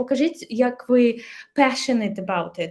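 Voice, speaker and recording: Her pitch is high. This woman's tone is dark and mellow. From Ukraine. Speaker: English teacher. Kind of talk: casual chat; webinar lecture. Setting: webinar.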